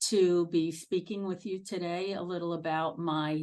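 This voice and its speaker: A woman with a Brooklyn accent speaks at a fairly slow pace and fairly low pitch over a quiet background. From Brooklyn, New York. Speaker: nursing executive. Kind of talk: career talk to students. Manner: halting with many fillers.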